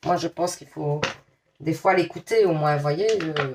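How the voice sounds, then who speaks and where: Fairly low pitch for a woman, with fairly even intonation at a moderate pace. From Belgium, Liège. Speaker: tarot card reader. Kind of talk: tarot reading to viewers; casual chat. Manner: casual, hesitant with many fillers.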